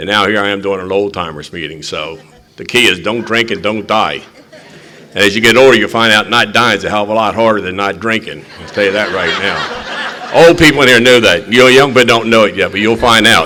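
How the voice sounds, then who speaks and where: Over noticeable background noise and audible room echo, a man speaks at a fairly quick pace in a fairly low pitch with ordinary pitch variation. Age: 80s+. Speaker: recovery meeting chair. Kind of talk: recovery meeting talk.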